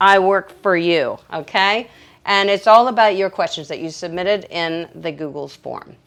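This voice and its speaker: On a very clean recording with a silent background, a woman speaks loudly at a fairly slow pace with an animated tone. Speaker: dog groomer. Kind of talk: livestream Q&A tutorial. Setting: livestream from grooming table.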